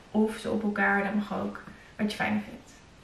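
Light background noise and audible room echo surround a woman talking at a fairly quick pace. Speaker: fitness instructor. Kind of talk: workout instruction. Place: home room.

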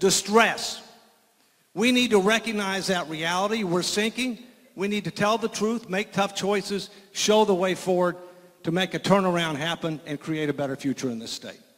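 A man's high-pitched voice at a moderate pace, ordinary pitch variation, quiet background. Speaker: political candidate; candidate. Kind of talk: political debate. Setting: stage with audience. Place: stage. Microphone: handheld.

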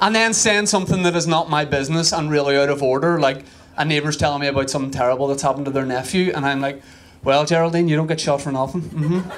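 This man has a Northern Irish accent and a fairly high pitch with ordinary pitch variation. He talks at a very fast pace over light background noise. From Northern Ireland. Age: 30s. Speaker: stand-up comedian. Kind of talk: stand-up comedy set. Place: stage. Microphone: handheld.

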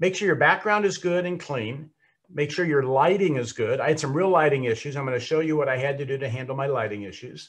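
Over a quiet background, the speaker talks very fast, somewhat breathy, with ordinary pitch variation. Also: man. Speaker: speaking coach. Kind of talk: tutorial. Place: home room.

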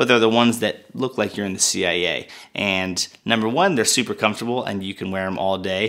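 Against a quiet background, a man talks at a fairly quick pace with a fairly low pitch and ordinary pitch variation. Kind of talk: product review talk. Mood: upbeat, enthusiastic. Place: studio.

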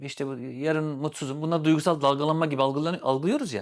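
On a very clean recording with a silent background, a man with an unremarkable speaking voice talks at a fairly quick pace and fairly high pitch. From Turkey, Sivas. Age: 40s. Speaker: therapist. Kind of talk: casual chat.

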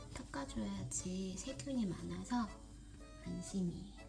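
A woman is whispering, with music in the background. Audible room echo carries through the clip. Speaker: homemaker vlogger. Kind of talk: casual vlog narration. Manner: halting.

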